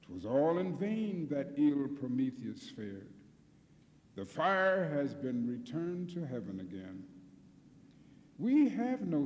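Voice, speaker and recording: A man at a very slow pace with lively intonation, over noticeable background noise. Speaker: singer and poetry reciter. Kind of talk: poetry reading.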